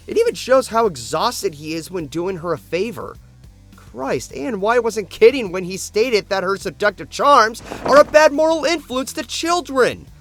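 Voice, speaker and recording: A high-pitched male voice at a moderate pace, with very wide pitch swings and big swings in loudness over background music. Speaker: video reviewer. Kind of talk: review commentary.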